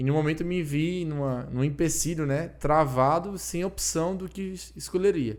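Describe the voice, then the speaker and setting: The speaker has a Ceará accent. The pace is moderate. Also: man. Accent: Cearense (northeastern Brazilian). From Ceará, Brazil. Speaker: anesthesiologist. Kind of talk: casual podcast interview.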